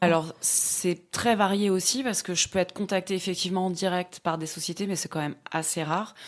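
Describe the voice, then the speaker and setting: A normal speaking voice from a woman at a medium pitch, with fairly even intonation, a fairly quick pace and hardly any pauses. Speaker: voice actor. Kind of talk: casual interview answer explaining her profession.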